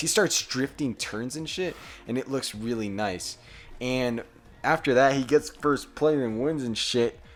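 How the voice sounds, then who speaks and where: With an animated tone and lively intonation, a man talks at a medium pitch and a fairly slow pace. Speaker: podcast co-host. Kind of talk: casual chat.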